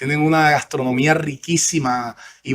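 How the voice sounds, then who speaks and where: A man speaks with a strong Colombian Caribbean accent at a fairly slow pace. His tone is bright and sharp, his intonation monotone and flat. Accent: Colombian Caribbean coastal, kept strongly. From Colombian Caribbean coast, Sincelejo (Sucre). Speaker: senator. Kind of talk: interview. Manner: hesitant, many fillers and repetitions.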